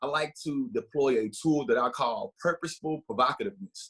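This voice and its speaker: Speaking at a fairly quick pace with ordinary pitch variation, a man is heard in a dry, close sound with no echo. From US South. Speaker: diversity educator. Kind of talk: workshop talk. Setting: video call. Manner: loud; animated.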